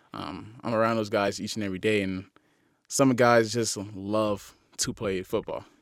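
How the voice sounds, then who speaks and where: In a very clean recording with a silent background, a man with an American accent and an unremarkable speaking voice talks at a fairly low pitch with fairly even intonation. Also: moderate pace. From US South, Miami, Florida. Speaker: college football player. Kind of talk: casual interview. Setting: studio.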